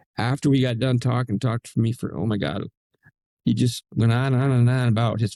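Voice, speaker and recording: Talking at a fairly quick pace with an American accent, a man shows vocal fry and a dark, mellow tone in a dry, close sound with no echo. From upstate New York, rural. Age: 80s+. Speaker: retired attorney, Marine veteran, author. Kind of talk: interview chat.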